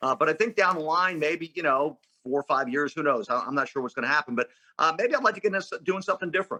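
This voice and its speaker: Very fast speech in an American accent, with lively intonation and a bright, sharp tone, comes through dry and close with no echo. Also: man. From Philadelphia, US Northeast. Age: 60s. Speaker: sports radio play-by-play announcer. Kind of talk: casual interview chat.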